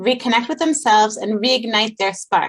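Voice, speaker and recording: Using a normal speaking voice, a woman speaks fairly high in pitch, her pitch varying in an ordinary way. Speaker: interviewer, podcast host. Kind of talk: interview host talk.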